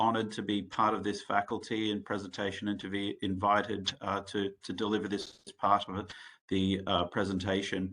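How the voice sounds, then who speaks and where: The voice has an Australian accent and a bright, sharp tone. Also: man. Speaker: medical device executive and researcher. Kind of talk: conference presentation. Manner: halting, many fillers.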